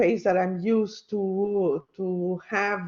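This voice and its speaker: A woman speaks with a non-native accent. Her pitch sits in the medium range. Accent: non-native English speaker. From Mexico. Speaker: university lecturer. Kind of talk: lecture. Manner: hesitant, many fillers.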